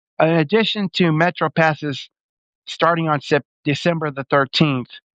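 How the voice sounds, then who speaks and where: This man talks at a moderate pace with a fairly high pitch and fairly even intonation. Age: 60s. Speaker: homeless street minister. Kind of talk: appeal for donations. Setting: live video. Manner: halting.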